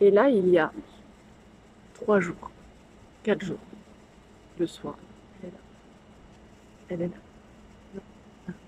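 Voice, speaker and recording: Whispering at a very slow pace, a woman leaves long, frequent pauses, her loudness swinging widely. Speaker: vlogger and painter. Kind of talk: vlog storytelling. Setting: bar.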